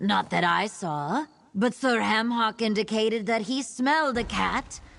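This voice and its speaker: A female-sounding voice performs a put-on character voice in a theatrical tone, at a fairly high pitch and a fairly slow pace. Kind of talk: showman's announcement. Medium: video game. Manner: dry, theatrical.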